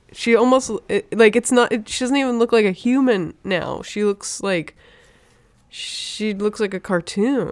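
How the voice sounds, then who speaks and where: At a fairly slow pace, an unremarkable speaking voice carries ordinary pitch variation. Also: woman, fairly high pitch for a woman. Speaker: podcast co-host, cartoonist. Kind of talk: casual banter. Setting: studio. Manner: teasing, playful.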